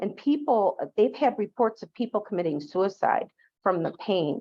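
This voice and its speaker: With an American accent and lively intonation, a woman talks at a fairly slow pace in an ordinary speaking voice. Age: 60s. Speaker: public health nurse. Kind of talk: lecture. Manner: casual, with frequent fillers.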